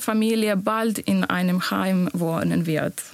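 With a Bosnian accent, a woman talks at a very slow pace, her pitch varying in an ordinary way. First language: Bosnian (speaking German). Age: 20s. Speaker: nurse. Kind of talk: interview.

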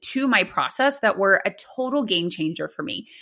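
In a very clean recording with a silent background, a woman with a bright, sharp tone and high pitch speaks at a fairly slow pace with very wide pitch swings. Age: 30s. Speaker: physical therapist and podcast host. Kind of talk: solo podcast monologue.

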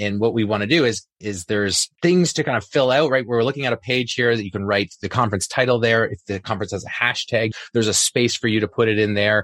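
A man's medium-pitched voice at a very fast pace, with ordinary pitch variation, hardly any pauses, a dry, close sound with no echo, and a very clean recording over a silent background. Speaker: podcast host, math teacher. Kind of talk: casual chat, podcast conversation.

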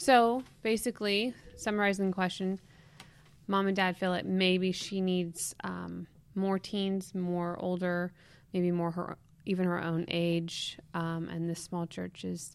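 Captured in a very clean recording with a silent background, a woman uses an ordinary speaking voice with fairly even intonation. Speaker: podcast co-host. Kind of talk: casual chat.

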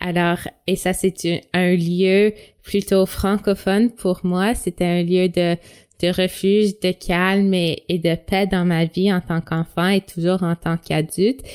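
A woman's medium-pitched, monotone, flat voice at a very slow pace, in a dry, close sound with no echo and a very clean recording with a silent background. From Toronto. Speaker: teacher. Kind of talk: interview.

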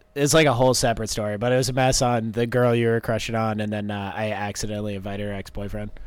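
In a room with audible echo, a man at a medium pitch talks very fast with hardly any pauses and fairly even intonation. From New Hampshire, New England. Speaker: race team mechanic. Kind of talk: casual interview.

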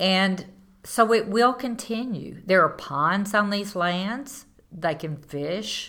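In a Southern US accent, a woman with a medium pitch and a bright, sharp tone speaks at a very slow pace with lively intonation. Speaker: landowner and tree farmer. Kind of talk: interview.

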